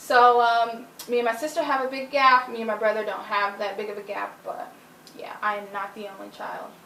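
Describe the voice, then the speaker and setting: Amid noticeable background noise and audible room echo, a woman with an American accent talks at a fairly high pitch and moderate pace, with ordinary pitch variation and big swings in loudness. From United States. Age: 20s. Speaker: interviewee. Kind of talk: interview.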